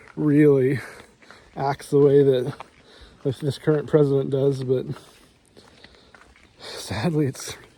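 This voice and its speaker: A man speaks with a dark, mellow tone at a fairly high pitch. His intonation stays monotone and flat. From United States. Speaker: vlogger. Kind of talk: casual monologue while walking. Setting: outdoors, walking in the rain. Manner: halting, many repeated words.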